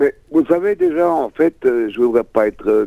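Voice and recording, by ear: The voice has vocal fry and big pitch swings. The pace is fairly slow. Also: man.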